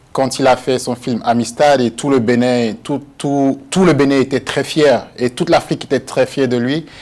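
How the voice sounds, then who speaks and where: A man in an ordinary speaking voice, at a moderate pace with hardly any pauses and fairly even intonation. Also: medium pitch for a man. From Benin. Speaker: actor. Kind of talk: TV interview. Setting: TV studio.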